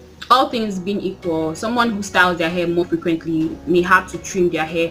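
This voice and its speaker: Music plays behind a woman speaking at a fairly quick pace. Her pitch is fairly low. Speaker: natural hair care YouTuber. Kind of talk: tutorial. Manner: halting, many fillers and restarts.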